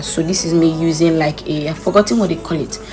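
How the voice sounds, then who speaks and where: Music sits in the background. A woman speaks at a fairly low pitch with fairly even intonation. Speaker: beauty vlogger. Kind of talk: makeup tutorial voiceover. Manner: fast; casual, chatty.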